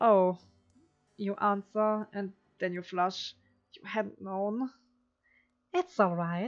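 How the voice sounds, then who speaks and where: Over background music, a speaker with a non-native accent goes very slowly in a monotone, flat intonation, with big swings in loudness and long, frequent pauses. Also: woman, medium pitch for a woman. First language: not English. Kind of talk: reading a text adventure game aloud. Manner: practiced feminine voice.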